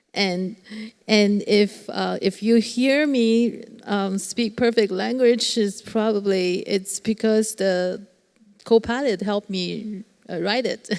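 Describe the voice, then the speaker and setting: A woman speaks very slowly with a non-native accent. Her pitch sits fairly high. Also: fairly even intonation. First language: not English. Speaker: panelist. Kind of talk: panel discussion. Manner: halting.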